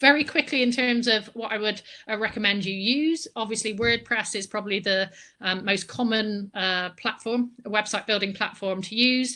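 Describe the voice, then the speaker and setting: A woman talks at a moderate pace with a West Country accent. Her fairly high voice has a bright, sharp tone. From Bristol, West Country England. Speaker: book marketing consultant. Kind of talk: online presentation with slides. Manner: energetic.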